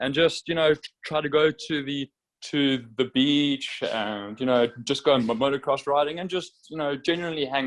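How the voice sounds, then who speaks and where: A man with a South African accent, fairly high-pitched, at a moderate pace, with fairly even intonation and a dry, close sound with no echo. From South Africa, Durban. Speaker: motorcycle racer. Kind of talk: interview. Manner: halting, many fillers.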